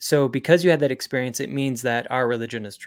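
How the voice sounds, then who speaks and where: Recorded very cleanly against a silent background, a man speaks at a medium pitch with an American accent. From Utah. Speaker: founder of kids spirituality curriculum, podcast host. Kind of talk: interview.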